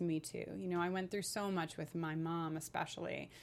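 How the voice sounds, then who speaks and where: The speaker has an ordinary speaking voice and an American accent. The pace is fairly quick. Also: woman. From New York. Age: 30s. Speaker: author and LGBTQ advocate. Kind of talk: interview.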